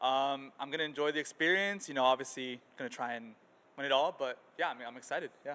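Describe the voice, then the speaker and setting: A man talks at a very fast pace in a bright, sharp tone. His pitch is fairly high, with ordinary pitch variation. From Mexico, Tijuana. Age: 20s. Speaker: esports gamer. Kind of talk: pre-match interview.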